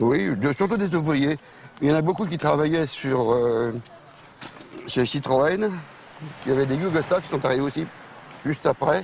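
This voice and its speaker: Pausing long and often, a man speaks with ordinary pitch variation over noticeable background noise. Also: fairly high pitch for a man, moderate pace. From France, Paris suburbs (Val-d'Oise). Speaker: real estate agent. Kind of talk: interview. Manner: halting.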